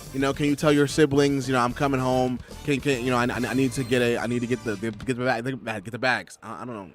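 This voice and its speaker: Music plays in the background as a man speaks. His pace is very fast and his intonation fairly even. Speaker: gaming streamer. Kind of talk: casual chat. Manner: halting.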